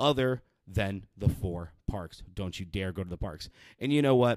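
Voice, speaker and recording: A man speaks in an animated tone with lively intonation. The recording is very clean, with a silent background and a dry, close sound with no echo. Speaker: podcast host. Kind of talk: angry rant. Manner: worked-up, sweary, exasperated, barreling through points with sarcastic emphasis; animated, loud, punchy, ranting at parents.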